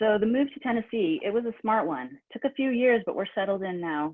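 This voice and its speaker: Lively intonation marks this woman's speech at a fairly quick pace. She talks with an American accent. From northeastern US. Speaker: writer giving a reading. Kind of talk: reading aloud of own fiction. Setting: online reading event.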